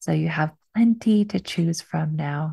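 A woman speaks with a dark, mellow tone, somewhat breathy, in a dry sound with no echo. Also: quiet background. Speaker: podcast host. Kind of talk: podcast intro monologue. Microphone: studio mic.

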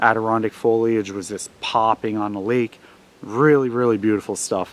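With monotone, flat intonation, a man talks fairly quickly, the sound dry with no echo. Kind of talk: tutorial. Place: forest. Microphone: phone near.

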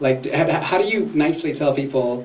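With lively intonation, a man talks at a fairly quick pace and fairly high pitch. Strong room echo surrounds his voice.

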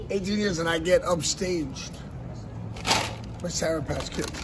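A high-pitched man at a moderate pace, with noticeable background noise. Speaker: professional wrestler. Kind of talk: wrestling promo, comedic. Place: street. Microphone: phone near.

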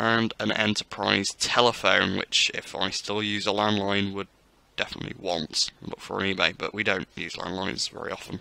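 A man speaks at a moderate pace in a fairly low voice, his intonation flat and monotone, with a dry, close sound and no echo. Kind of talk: casual museum tour narration. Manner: casual, chatty.

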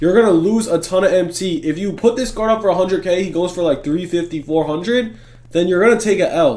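Animated tone from a man with a high pitch at a fairly quick pace. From Greek heritage. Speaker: gaming YouTuber. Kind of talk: gaming tutorial. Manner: casual, animated.

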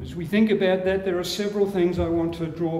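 A man's fairly quick voice, slightly mellow in tone, with strong room echo

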